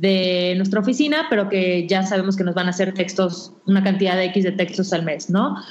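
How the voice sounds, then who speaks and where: Audible room echo surrounds a woman who talks at a moderate pace. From Mexico, Yucatán (Mérida). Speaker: digital magazine founder and editor. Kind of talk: interview.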